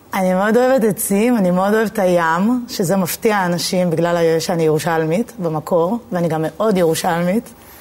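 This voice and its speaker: Spoken in a plain, everyday voice at a moderate pace, the delivery has hardly any pauses, ordinary pitch variation and very even loudness. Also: woman, medium pitch for a woman. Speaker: poet. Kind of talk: interview.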